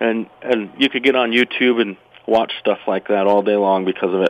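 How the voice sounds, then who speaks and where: Here a man speaks with an American accent. His pace is moderate and his intonation fairly even. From Utah. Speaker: firearms instructor. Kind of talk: casual interview. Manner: halting, repeats words.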